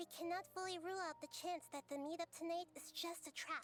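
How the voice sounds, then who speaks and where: A put-on, female-sounding character voice at an extremely high pitch and fairly quick pace, with clear music in the background. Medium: video game. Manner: soft-spoken, calm.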